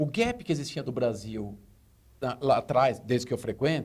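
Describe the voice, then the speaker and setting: Speaking at a medium pitch for a man, this male speaker has an ordinary speaking voice and ordinary pitch variation. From Brazil. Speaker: retail consultant. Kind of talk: tv interview. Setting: studio.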